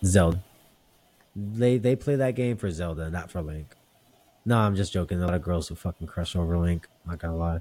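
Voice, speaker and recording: A man's voice, very deep and low, has a dark, mellow tone and ordinary pitch variation. He speaks at a fairly quick pace with long, frequent pauses. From small town. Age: 30s. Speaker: podcast host. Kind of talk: casual chat.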